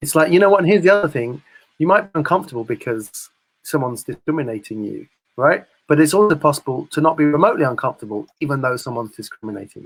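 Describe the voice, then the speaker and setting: A man with an American accent talks very fast in a fairly high voice, with lively intonation and big swings in loudness. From Britain. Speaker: discussion guest. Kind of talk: casual chat.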